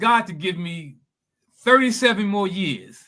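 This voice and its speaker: Raising and projecting his voice, a man speaks fairly slowly at a high pitch in a bright, sharp tone. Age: 70s. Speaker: spiritual bodybuilding coach. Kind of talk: testimony. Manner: halting, repeats words.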